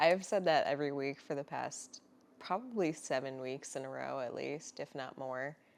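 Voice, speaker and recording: A soft-spoken woman talks with a very deep, low pitch and ordinary pitch variation. Her loudness swings widely. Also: moderate pace. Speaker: podcast co-host. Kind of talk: casual chat.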